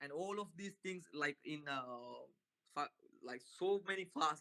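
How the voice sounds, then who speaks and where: A man with a non-native accent speaks at a fairly slow pace in a high voice with ordinary pitch variation, his tone bright and sharp and the sound dry and close with no echo. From Sri Lanka. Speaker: Buddhist passer-by. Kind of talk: street conversation. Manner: halting.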